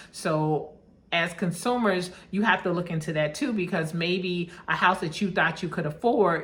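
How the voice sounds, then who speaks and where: Slightly breathy and fairly low-pitched, a woman talks with ordinary pitch variation while room echo is audible. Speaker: vlogger buying property abroad. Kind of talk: casual vlog monologue. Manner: fast.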